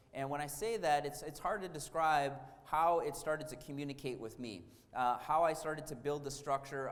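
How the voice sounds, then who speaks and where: With audible room echo, a man with an American accent speaks at a moderate pace, his fairly high pitch held to a fairly even intonation. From Wisconsin, US Midwest. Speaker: architect. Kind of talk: lecture. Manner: hesitant, many fillers.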